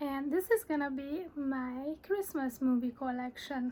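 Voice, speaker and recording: A woman speaks in a Hungarian accent at a high pitch. Her pace is fairly slow, with ordinary pitch variation. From Hungary. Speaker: collector showing films. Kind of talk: casual show-and-tell.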